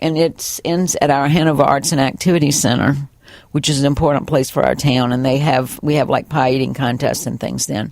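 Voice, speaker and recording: At a moderate pace, a woman with a Virginia accent speaks in a very deep, low pitch. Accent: Southern US (Virginia). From US South. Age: 60s. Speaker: college bookstore manager, former teacher. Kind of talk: oral history interview. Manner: animated.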